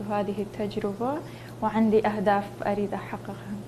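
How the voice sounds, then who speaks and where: With audible room echo, a woman speaks at a medium pitch in a monotone, flat intonation. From northern Iraq, Sinjar (Nineveh). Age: 20s. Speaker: beauty contest contestant, humanitarian worker. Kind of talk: interview. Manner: halting, many fillers.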